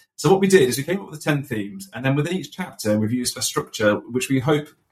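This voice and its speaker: Somewhat breathy, a man with a British accent talks at a very fast pace. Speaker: podcast host.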